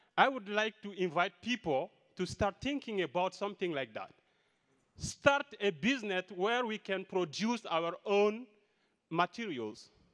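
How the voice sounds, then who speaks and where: A high-pitched man with ordinary pitch variation, over a quiet background. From Mali. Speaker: community sport coach. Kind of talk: audience comment. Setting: conference hall with audience. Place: hall. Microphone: handheld.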